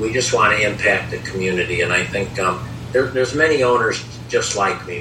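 A man with an American accent speaks at a fairly quick pace. Audible room echo and noticeable background noise are present. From US Midwest, Chicago area. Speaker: baseball team owner. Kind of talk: interview.

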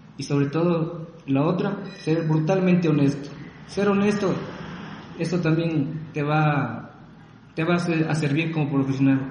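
Fairly slow, fairly even speech from a man at a fairly high pitch, with audible room echo and noticeable background noise. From Ecuador. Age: 30s. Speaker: civil engineer and graphic designer. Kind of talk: interview. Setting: remote call.

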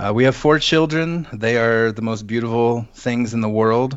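In an American accent, an ordinary speaking voice moves at a moderate pace with ordinary pitch variation. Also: man. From US Pacific Northwest, Seattle. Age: 30s. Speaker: suicide attempt survivor, musician and wand carver. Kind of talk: interview, personal testimony.

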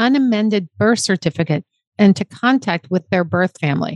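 With an unremarkable speaking voice, a woman talks at a fairly quick pace in a medium pitch with ordinary pitch variation against a quiet background. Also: dry, close sound with no echo. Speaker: podcast host. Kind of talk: podcast hosting, reading aloud and interviewing.

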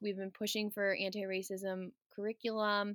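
In a very clean recording with a silent background and a dry, close sound with no echo, a woman with an American accent speaks at medium pitch and a fairly slow pace in a plain, everyday voice. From US Midwest, Wisconsin. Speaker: elementary school teacher. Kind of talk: interview.

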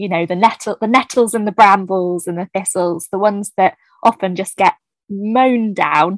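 A woman with a southern English accent speaks at a medium pitch and a moderate pace, her intonation fairly even. The sound is dry and close, with no echo. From southern England, New Forest. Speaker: children's author, former teacher. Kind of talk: casual interview chat.

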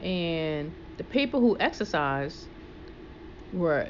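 With music in the background, a woman whose voice is fairly low speaks very slowly with lively intonation. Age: 50s. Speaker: personal trainer and fitness show host. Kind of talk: casual chat.

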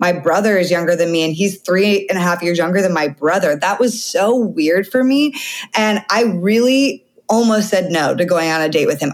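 A woman speaks in an animated tone at a moderate pace. Her medium pitch has ordinary variation. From Canada. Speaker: dating coach and podcast host. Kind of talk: casual chat.

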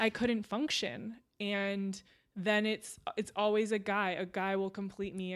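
Speaking with a Californian accent at a moderate pace, a woman at medium pitch keeps her intonation fairly even in a very clean recording with a silent background. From Southern California. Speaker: former athlete and sports reporter. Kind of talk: casual chat. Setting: at home.

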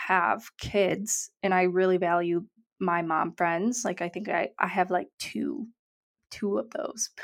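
Recorded very cleanly against a silent background, a woman talks fairly slowly. She has an ordinary speaking voice with ordinary pitch variation. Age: 20s. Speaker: podcast co-host. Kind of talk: casual chat.

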